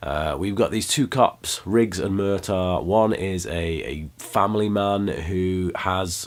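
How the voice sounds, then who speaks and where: With a British accent, a man speaks at a very deep, low pitch with lively intonation. Noticeable background noise runs underneath. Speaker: film reviewer. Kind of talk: movie review monologue. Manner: hesitant, many fillers.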